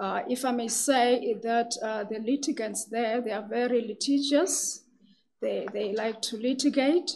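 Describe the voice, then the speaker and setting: A soft-spoken woman's high voice at a fairly slow pace, with ordinary pitch variation and light background noise. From South Africa. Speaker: magistrate and judicial candidate. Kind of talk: formal job interview. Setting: hearing room with microphones. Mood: calm, formal, measured. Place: meeting room. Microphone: podium.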